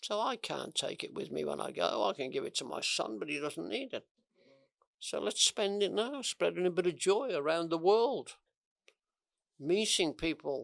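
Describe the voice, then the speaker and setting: With a Welsh accent, a man speaks at a moderate pace with long, frequent pauses, in a dry, close recording with no echo that is very clean against a silent background. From Wales. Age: 80s+. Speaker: communication coach. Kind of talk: interview.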